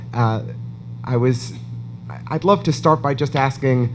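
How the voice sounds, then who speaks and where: In an American accent, a man speaks with a medium pitch and ordinary pitch variation. Room echo is audible. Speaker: event interviewer. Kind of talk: on-stage interview at an awards event.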